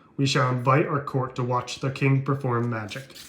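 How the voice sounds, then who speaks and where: A man's put-on character voice, medium in pitch, monotone and flat, at a moderate pace. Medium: read story. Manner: imperious.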